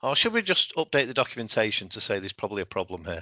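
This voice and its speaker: A male voice is heard. He has a British accent. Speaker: solutions engineer presenting in a webinar. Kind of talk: webinar presentation. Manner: halting with self-corrections.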